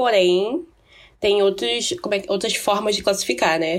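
Over a silent background in a very clean recording, a woman speaks at a moderate pace. Her fairly high voice swings very widely in pitch. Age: 20s. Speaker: podcast co-host. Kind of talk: casual chat.

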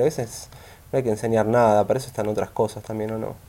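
Speaking in a Rioplatense accent, a man goes at a very fast pace. His tone is dark and mellow. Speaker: podcast host. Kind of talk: casual interview chat.

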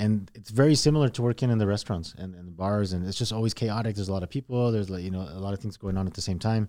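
In a very clean recording with a silent background, a man speaks very fast with a very deep, low pitch and a dark, mellow tone. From Mexico, then El Paso from age eight. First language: Spanish. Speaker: car dealership general manager. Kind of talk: casual interview. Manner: halting, many fillers.

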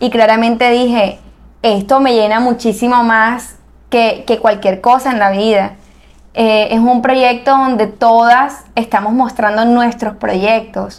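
The delivery is monotone, with flat intonation. The pace is very slow. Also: woman, fairly high pitch for a woman. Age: 20s. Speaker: architect and entrepreneur. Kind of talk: interview.

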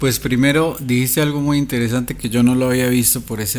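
A man's flat, monotone intonation. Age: 30s. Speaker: songwriter, musician and YouTuber. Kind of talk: casual chat.

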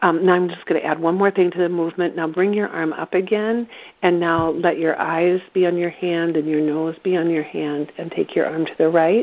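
An unremarkable speaking voice, a woman with a fairly low pitch at a moderate pace. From East Central Iowa, US Midwest. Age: 60s. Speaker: movement therapy practitioner. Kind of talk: guided exercise.

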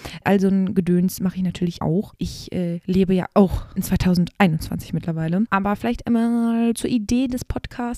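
A woman's dark, mellow voice at a fairly slow pace, dry and close with no echo. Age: 20s. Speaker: podcaster. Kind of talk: solo monologue. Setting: at home desk. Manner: casual, many fillers.

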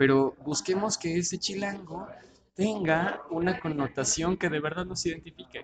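Noticeable background noise sits behind a man with a Mexico City accent. He speaks at a high pitch and a fairly slow pace, with ordinary pitch variation. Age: 30s. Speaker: political communications consultant. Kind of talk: casual interview.

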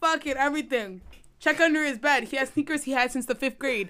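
Her voice raised and projected, a woman with a high pitch and a bright, sharp tone talks at a fairly quick pace. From Edmonton, Canada. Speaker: university student. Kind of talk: casual chat.

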